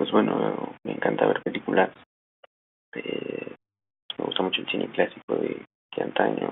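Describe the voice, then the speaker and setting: Long, frequent pauses break up the man's speech, which otherwise moves at a moderate pace. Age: 20s. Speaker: communication student and magazine writer. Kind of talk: self-introduction monologue. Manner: halting, many fillers.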